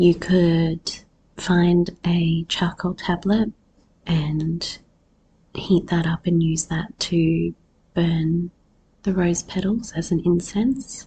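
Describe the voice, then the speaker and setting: A woman speaks very slowly with a fairly low pitch and a dark, mellow, somewhat breathy tone. Her intonation stays fairly even, broken by long, frequent pauses. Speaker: podcast host, herbalist. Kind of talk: solo podcast talk.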